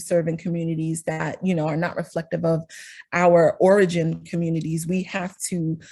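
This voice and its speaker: Speaking with a Northeastern US accent, a woman sounds somewhat breathy. She keeps a moderate pace. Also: quiet background. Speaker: speech-language pathologist. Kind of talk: presentation to a professional group.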